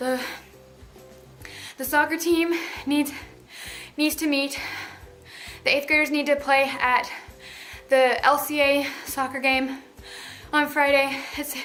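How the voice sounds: A woman's shaky, high-pitched put-on character voice, monotone and flat, at a fairly slow pace with long, frequent pauses and faint music in the background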